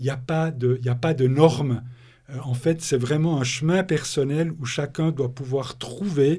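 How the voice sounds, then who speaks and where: A man's fairly high, somewhat breathy voice, very slow with fairly even intonation, on a very clean recording with a silent background. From Switzerland, Bernese Jura. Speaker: author and thinker on ecospirituality. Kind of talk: interview.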